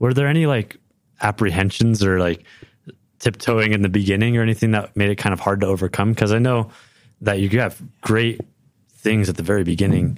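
With an American accent, a man talks at a fairly quick pace in an unremarkable speaking voice, fairly low in pitch and with ordinary pitch variation. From California, San Francisco Bay Area. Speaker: podcast co-host. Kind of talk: panel discussion.

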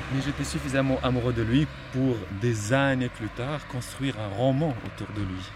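There is noticeable background noise as a man talks at a moderate pace. His pitch is medium, with ordinary pitch variation. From Morocco, Salé. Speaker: novelist. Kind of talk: personal testimony on a walk. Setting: outdoors, walking through the city. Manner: halting, with many repetitions.

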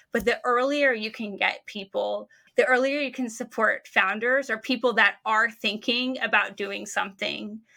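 On a very clean recording with a silent background, a woman with an American accent speaks at a moderate pace with hardly any pauses. Her fairly high, bright, sharp voice carries vocal fry and fairly even intonation. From United States. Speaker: sociologist and startup researcher. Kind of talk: interview.

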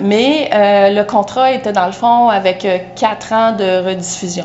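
Amid noticeable background noise and audible room echo, a woman talks at a very slow pace with a fairly high pitch and ordinary pitch variation. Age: 50s. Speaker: home stager and interior designer. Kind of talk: casual interview. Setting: outdoors in a backyard.

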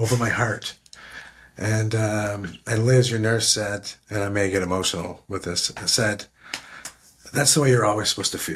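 Somewhat breathy, a man with a Canadian accent talks at a moderate pace with ordinary pitch variation. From Canada. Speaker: military veteran. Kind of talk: interview conversation. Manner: halting.

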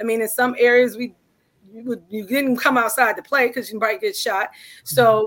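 In an American accent, a woman talks at a fairly quick pace with a fairly high pitch and fairly even intonation. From Cleveland, Ohio, US Midwest. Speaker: business owner. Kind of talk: interview. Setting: live stream. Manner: direct.

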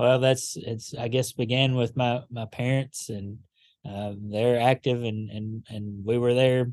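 Over a quiet background, a man with a Kentucky accent talks at a fairly slow pace and medium pitch, his intonation flat and monotone. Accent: Southern US (Kentucky). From western Kentucky (Paducah). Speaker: pastor. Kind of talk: interview conversation. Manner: halting, with many fillers.

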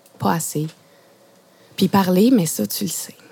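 Here a woman talks at a medium pitch. She takes a fairly slow pace. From Quebec (Saguenay, PEI, Outaouais). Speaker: playwright and poet. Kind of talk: poetry reading. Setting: mobile radio studio truck at outdoor exhibition.

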